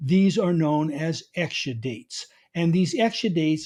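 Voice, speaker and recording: A man's high-pitched voice with a New York accent. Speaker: garden author and speaker. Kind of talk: conference talk.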